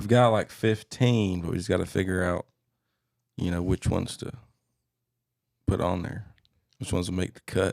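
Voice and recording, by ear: Vocal fry runs through a slightly mellow tone that keeps a fairly even intonation. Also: man.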